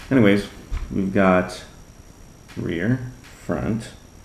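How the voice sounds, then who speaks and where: A soft-spoken man's fairly low voice with vocal fry and audible room echo. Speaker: RC hobby YouTuber. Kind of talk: hobby build tutorial. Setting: home workbench late at night. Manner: casual, playful.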